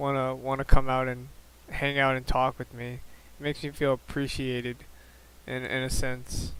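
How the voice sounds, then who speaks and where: A soft-spoken man talks at medium pitch and a moderate pace. His intonation is monotone and flat, broken by long, frequent pauses. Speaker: vlogger sharing mental health journey. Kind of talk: personal vlog monologue. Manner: halting, many fillers and repeats.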